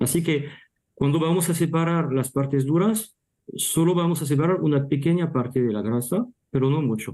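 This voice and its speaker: The tone is dark and mellow. Speech comes at a moderate pace with ordinary pitch variation. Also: man. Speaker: meat technology speaker. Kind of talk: panel Q&A answer. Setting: virtual panel. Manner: halting, many restarts.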